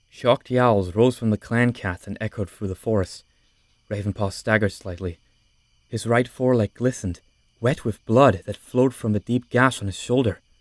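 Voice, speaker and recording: Using a normal speaking voice, a man of medium pitch talks at a moderate pace with fairly even intonation. The sound is dry and close with no echo, in a very clean recording with a silent background. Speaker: audiobook narrator. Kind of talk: voice-acted audiobook narration.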